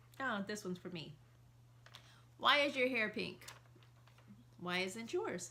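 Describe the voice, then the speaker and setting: A woman speaks with lively intonation. She leaves long, frequent pauses. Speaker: married couple video host. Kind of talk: casual chat. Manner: loud.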